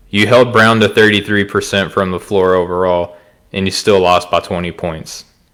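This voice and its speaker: The speaker is a man with an Arkansas accent. His tone is bright and sharp, his intonation flat and monotone. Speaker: podcast co-host. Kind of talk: casual sports chat.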